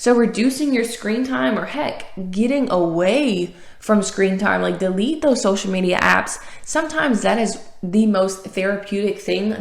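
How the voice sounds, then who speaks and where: In a slight Southern US accent, a woman speaks at a medium pitch and moderate pace with vocal fry. Room echo can be heard. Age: 20s. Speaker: podcast host and author. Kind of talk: motivational podcast monologue. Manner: animated.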